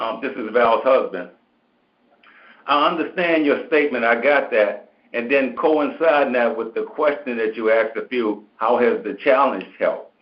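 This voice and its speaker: Using a plain, everyday voice, a man with fairly high pitch and lively intonation speaks at a moderate pace. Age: 60s. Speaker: caller on a call-in show. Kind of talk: casual chat.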